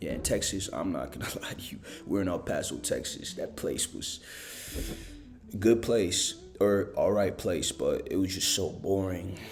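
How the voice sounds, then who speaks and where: A man talks at a moderate pace with music playing behind him and audible echo in the room. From Africa, raised in US military family moves (New York, Germany, Alaska). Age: 20s. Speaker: college student vlogger. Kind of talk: casual personal vlog. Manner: hesitant, many fillers.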